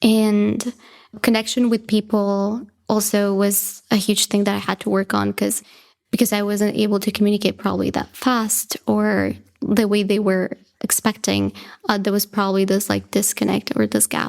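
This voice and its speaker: A woman with a Spanish accent, at a moderate pace and with very even loudness. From Bolivia (La Paz). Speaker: graduate student in aerospace engineering. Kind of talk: podcast interview.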